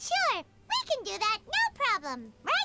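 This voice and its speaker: This put-on character voice sounds squeaky, with very wide pitch swings. It moves at a fairly slow pace. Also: woman. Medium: video game. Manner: chatty, teasing.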